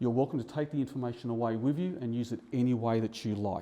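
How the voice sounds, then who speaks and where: Against a quiet background, a dark, mellow voice with ordinary pitch variation rushes along at a very fast pace. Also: man. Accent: Australian. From Australia, eastern suburbs of Melbourne. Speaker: real estate buyer's advocate. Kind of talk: seminar presentation. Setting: seminar room with live audience. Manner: fast at times.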